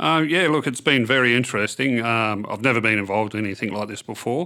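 A man speaks in an Australian accent. The recording is very clean, with a silent background. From Western Australia (Kimberley, Kununurra). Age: 50s. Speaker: political candidate. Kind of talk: interview. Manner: halting.

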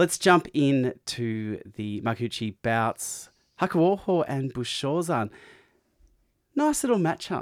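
Over a silent background in a very clean recording, a man with an Australian accent speaks at a very slow pace, using a fairly high pitch and lively intonation. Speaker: podcast co-host. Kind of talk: casual chat.

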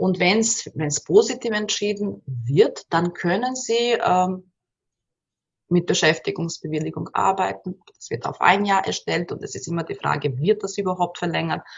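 A woman speaks slowly-ish at a medium pitch with lively intonation and vocal fry. Her loudness swings widely. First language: Bosnian/Croatian/Serbian (speaking German). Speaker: migrant women's counsellor. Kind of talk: interview. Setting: at her workplace. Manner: halting, many repetitions.

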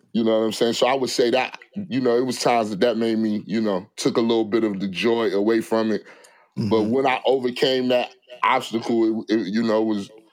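Against a quiet background, a man with an unremarkable speaking voice talks fairly quickly at a medium pitch with fairly even intonation. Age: 40s. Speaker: rapper and clothing entrepreneur. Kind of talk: casual chat.

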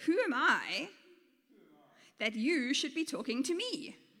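A woman uses a put-on character voice, high and bright with a sharp tone. She speaks slowly with big pitch swings.

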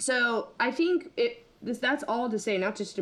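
In an American accent, a woman with a normal speaking voice talks at a moderate pace with lively intonation. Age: 30s. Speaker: consultant. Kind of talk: casual chat.

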